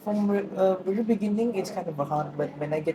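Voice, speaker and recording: Very fast speech from a woman with a Tamil accent, medium pitch and ordinary pitch variation, against noticeable background noise. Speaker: university student. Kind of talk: interview. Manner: halting.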